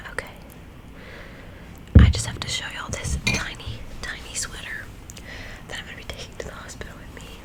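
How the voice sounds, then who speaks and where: A woman whispers in a gentle tone. Noticeable background noise runs behind her. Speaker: ASMR creator and mother. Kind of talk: casual whispered ASMR talk to camera. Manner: soft-spoken, gentle.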